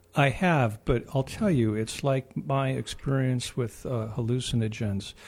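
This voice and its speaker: A man at a medium pitch with a Midwestern American accent, somewhat breathy, at a fairly slow pace with ordinary pitch variation. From US Midwest. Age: 60s. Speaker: radio host. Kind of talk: casual chat. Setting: studio.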